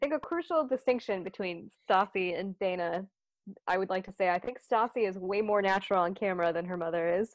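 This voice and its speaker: A woman with an unremarkable speaking voice talks at a fairly quick pace, her medium pitch showing ordinary variation. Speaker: podcast host. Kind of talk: casual banter recapping a reality TV episode.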